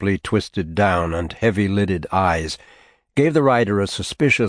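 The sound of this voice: Here is an unforced reading voice with lively intonation. The background is quiet.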